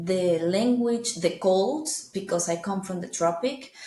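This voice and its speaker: The speaker has a Spanish accent and ordinary pitch variation. Room echo can be heard. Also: woman. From Venezuela. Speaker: international professional living abroad. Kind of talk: interview. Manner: halting.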